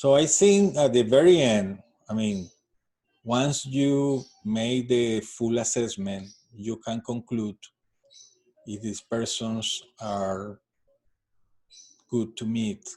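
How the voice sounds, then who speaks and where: Speaking very slowly with long, frequent pauses, a man with a Spanish accent has a dark, mellow tone at medium pitch. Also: ordinary pitch variation. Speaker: astrology card reader. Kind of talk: tutorial. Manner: halting.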